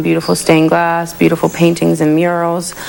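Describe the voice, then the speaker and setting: Speaking fairly quickly in an American accent, a woman is heard against noticeable background noise. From Pittsburgh, Pennsylvania. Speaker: community volunteer videographer. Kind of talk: documentary narration.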